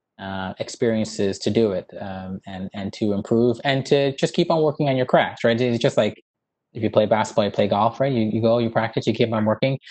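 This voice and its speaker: Here a man talks at a very fast pace. His pitch is fairly low with ordinary variation, and the background is quiet. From Newfoundland, Canada (St. John's West End); Newfoundland. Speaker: dermatologist and professor; professor. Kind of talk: interview. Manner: hesitant, many fillers. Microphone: earbuds.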